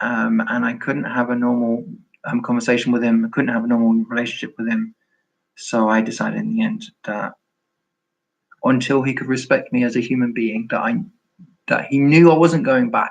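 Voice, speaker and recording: A man with a London accent, fairly quick in pace, with long, frequent pauses. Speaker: former Jehovah's Witness YouTuber. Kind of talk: live stream chat. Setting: live stream. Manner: halting.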